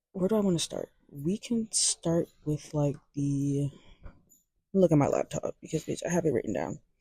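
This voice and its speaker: Soft-spoken and somewhat breathy, a woman with a dark, mellow tone and a fairly low pitch talks at a moderate pace with ordinary pitch variation, the sound dry and close with no echo. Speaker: music commentator. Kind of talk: casual vlog. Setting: library. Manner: halting.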